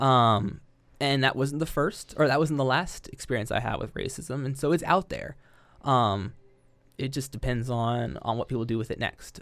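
In a Midwestern American accent, a man speaks at medium pitch and a moderate pace with ordinary pitch variation. The recording is very clean, with a silent background. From southwest Ohio (Yellow Springs). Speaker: elementary school educator. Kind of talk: casual chat.

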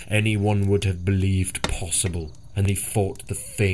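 This recording captures reading aloud in a natural voice.

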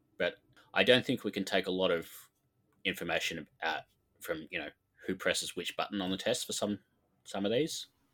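In a very clean recording with a silent background, a man talks with an Australian accent. His pace is fairly quick, broken by long, frequent pauses. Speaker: podcast co-host. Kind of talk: casual chat.

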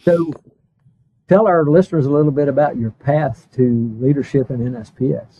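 Using an ordinary speaking voice with an American accent, a man talks at a moderate pace with fairly high pitch and ordinary pitch variation. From US East Coast. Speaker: podcast host. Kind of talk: interview.

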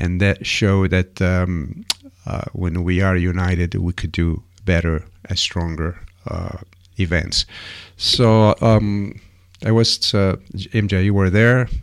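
In an Italian accent, a man with a very deep, low pitch talks at a very slow pace, with fairly even intonation and long, frequent pauses. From Sicily, Italy. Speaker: radio host. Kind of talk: casual radio chat. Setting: radio studio.

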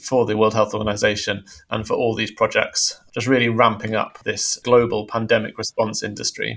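Delivered at a moderate pace, the speech comes in a British accent with monotone, flat intonation. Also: man. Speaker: news editor. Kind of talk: news discussion.

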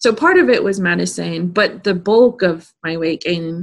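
Medium-pitched female speech at a moderate pace, a normal speaking voice with ordinary pitch variation. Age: 30s. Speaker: podcast host and manifestation coach. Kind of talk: casual interview chat.

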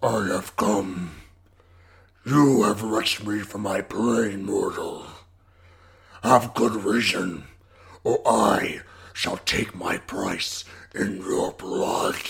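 A man puts on a raspy character voice at a medium pitch, speaking very slowly with long, frequent pauses. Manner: menacing, contemptuous, grandiose.

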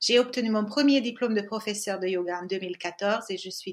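A woman with a Hungarian accent talks in a medium pitch at a moderate pace, her pitch varying in an ordinary way. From Hungary. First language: Hungarian (speaking French). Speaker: yoga teacher and podcast co-host. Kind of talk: scripted introduction.

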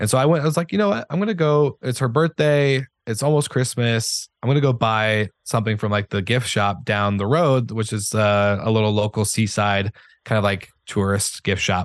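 A man talks in an ordinary speaking voice at medium pitch and a moderate pace, with ordinary pitch variation and very even loudness. The sound is dry and close with no echo, over a quiet background. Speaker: hospitality podcast founder. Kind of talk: casual interview conversation. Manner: conversational, filler-heavy.

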